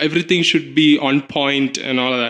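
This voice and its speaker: This is a man speaking. He has a Kerala accent. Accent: Malayali. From Kerala, India (Cochin). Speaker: drag performer. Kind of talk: interview.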